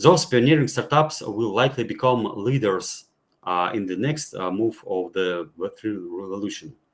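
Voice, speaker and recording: Against a silent background on a very clean recording, a man's intonation sounds lively. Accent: non-native. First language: not English. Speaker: blockchain gaming speaker. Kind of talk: panel talk presentation. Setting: virtual meetup. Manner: halting, many fillers.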